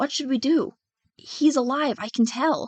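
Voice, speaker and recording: In a put-on character voice, a woman speaks at a high pitch and a moderate pace with ordinary pitch variation, the sound dry and close with no echo. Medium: read story.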